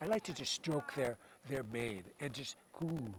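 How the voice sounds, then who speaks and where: A man talks at a moderate pace with lively intonation. Noticeable background noise runs behind him. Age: 70s. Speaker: veterinarian at endurance horse ride. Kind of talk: interview. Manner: halting, frequent repetitions.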